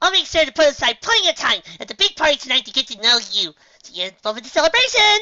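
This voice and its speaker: A female-sounding put-on character voice, raised and projected, races at a very fast pace with extremely high pitch for a woman and very wide pitch swings. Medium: read story. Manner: hyper, excitable.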